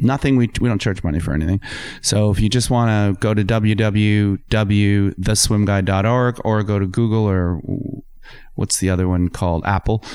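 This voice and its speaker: An unremarkable speaking voice with a Canadian accent moves at a moderate pace with very even loudness and fairly even intonation. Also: man, fairly low pitch for a man. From Ontario, Canada. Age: 50s. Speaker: environmental lawyer and water advocate. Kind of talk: casual interview. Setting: studio.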